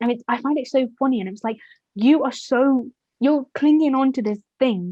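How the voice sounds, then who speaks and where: At a fairly quick pace, a woman with a high pitch speaks with ordinary pitch variation. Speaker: youth podcast host. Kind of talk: casual discussion.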